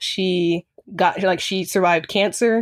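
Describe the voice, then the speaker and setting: A woman with a normal speaking voice talks at a medium pitch with fairly even intonation. The recording is very clean with a silent background and has a dry, close sound with no echo. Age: young. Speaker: college student. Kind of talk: interview.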